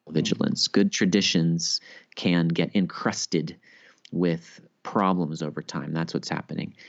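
A man speaks in a very deep, low voice. His pitch varies in an ordinary way. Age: 30s. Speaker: Bible scholar and author. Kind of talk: interview.

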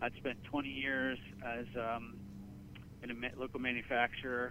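Speaking in a monotone, flat intonation at medium pitch, a man talks with a central Pennsylvania accent. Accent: central Pennsylvania American. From Pennsylvania, Gettysburg area. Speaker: marketing director. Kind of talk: interview.

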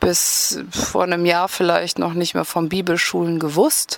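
Noticeable background noise sits behind a woman who speaks fairly slowly in a fairly low pitch with monotone, flat intonation. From Rhineland, near Bonn. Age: 40s. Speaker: sports therapist. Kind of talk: interview.

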